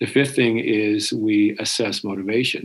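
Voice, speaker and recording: Medium pitch marks this voice. It belongs to a man. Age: 60s. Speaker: career coach. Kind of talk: podcast discussion.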